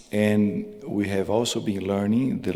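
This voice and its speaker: A man with a Portuguese accent and fairly even intonation. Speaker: cardiologist. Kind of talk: conference talk. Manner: halting, repeated words.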